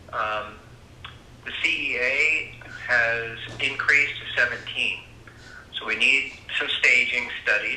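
A man speaks at a very slow pace, with long, frequent pauses. Light background noise and audible room echo are present. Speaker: doctor. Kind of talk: voicemail message. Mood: somber, subdued. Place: home room.

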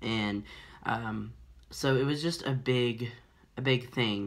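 The man's intonation stays fairly even as he talks. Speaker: vlogger. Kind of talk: personal vlog storytelling. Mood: reflective, candid. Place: home room. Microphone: phone near.

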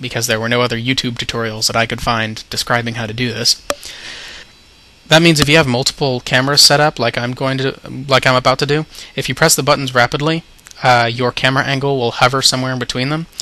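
A man's very fast, monotone, flat speech at a medium pitch, with noticeable background noise. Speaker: game modder. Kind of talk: software tutorial narration.

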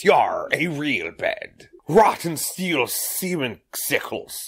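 A man puts on a raspy character voice with a high pitch. He speaks at a very slow pace. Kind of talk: exaggerated pirate speech.

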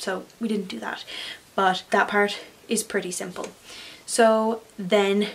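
A woman speaks with an Irish accent. Her intonation is fairly even. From Ireland. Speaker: craft YouTuber. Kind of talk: tutorial. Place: home room.

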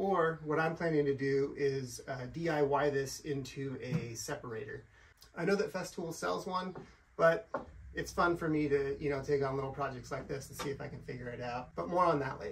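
Ordinary pitch variation marks a man talking at a moderate pace. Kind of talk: tutorial. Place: garage. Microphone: camera far.

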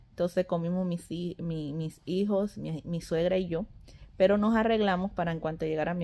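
The woman's voice has a dark, mellow tone. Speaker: family vlogger. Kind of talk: casual vlog chat. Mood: cheerful, amused. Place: home room. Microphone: phone near.

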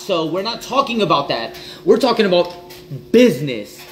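Lively intonation and an American accent come through at a moderate pace over light background noise. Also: man. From US South, Louisiana. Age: 30s. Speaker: entrepreneur livestreamer. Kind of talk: casual livestream monologue. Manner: animated. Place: kitchen. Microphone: phone near.

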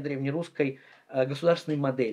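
In a quiet background, a man is talking. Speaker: historian. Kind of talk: interview. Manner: frequent filler hesitations. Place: workshop. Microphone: lapel.

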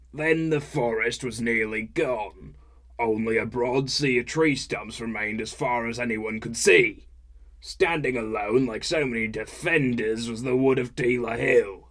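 A man puts on a character voice. He speaks at a moderate pace and a medium pitch. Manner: rambling narration.

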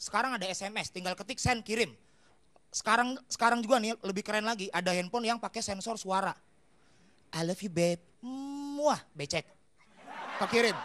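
Long, frequent pauses break up a fairly quick pace delivered in an animated tone. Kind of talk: stand-up comedy. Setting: stage with audience. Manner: animated, fast-paced, punchline-driven; acts out dialogues and plays characters.

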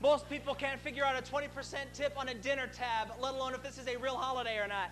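Over light background noise, a man talks loudly and fairly quickly at an extremely high pitch. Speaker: stand-up comedian. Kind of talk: profane stand-up rant in front of a live crowd. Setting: stage with audience. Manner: aggressive, crude ranting with mock-indignant scolding; loud crowd-pumping bravado. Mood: sarcastic, ranting. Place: stage. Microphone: lapel.

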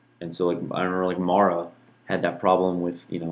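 A man with a very deep, low voice. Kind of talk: casual reflective monologue. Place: home room. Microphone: studio mic.

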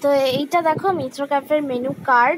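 A woman talks with fairly even intonation. The sound is dry with no echo, over light background noise. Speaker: vlogger. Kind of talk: casual vlog chat. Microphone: phone near.

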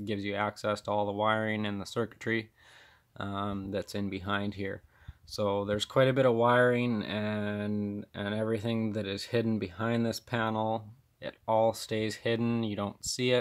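A man's fairly low voice at a moderate pace, monotone and flat in intonation, over a quiet background. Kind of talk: show-and-tell walkthrough. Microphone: phone near.

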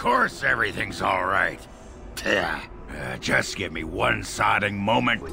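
A put-on character voice at a fairly slow pace, over clear background noise. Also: man. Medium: dub. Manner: gruff.

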